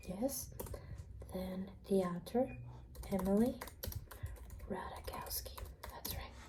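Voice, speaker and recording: Soft-spoken and very slow, a woman talks with long, frequent pauses over noticeable background noise. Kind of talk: ASMR role play, soft-spoken library clerk.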